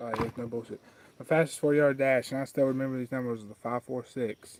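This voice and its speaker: In an Appalachian accent, a man talks fairly quickly at a medium pitch with monotone, flat intonation. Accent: Appalachian Southern US. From southwest Virginia, Wise County. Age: 20s. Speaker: fly tying streamer. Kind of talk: casual livestream chat and tutorial.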